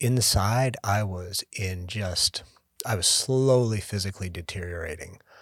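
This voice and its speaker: A man talks in a plain, everyday voice. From Canada. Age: 50s. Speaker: podcast co-host. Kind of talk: casual chat.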